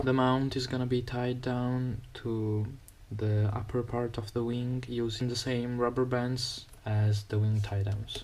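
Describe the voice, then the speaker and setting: The speaker talks at a fairly slow pace with an Italian accent. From Italy. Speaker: RC model builder. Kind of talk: tutorial. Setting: outdoors. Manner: halting.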